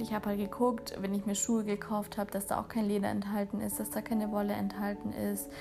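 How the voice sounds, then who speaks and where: Noticeable background noise runs under this recording. A woman speaks at a fairly quick pace. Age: 20s. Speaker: podcast host. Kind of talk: personal monologue.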